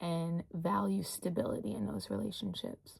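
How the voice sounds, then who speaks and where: Very clean with a silent background, the recording holds a woman's fairly low-pitched voice. Her tone is dark and mellow, and somewhat breathy. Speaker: astrology teacher. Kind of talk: tutorial. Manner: relaxed.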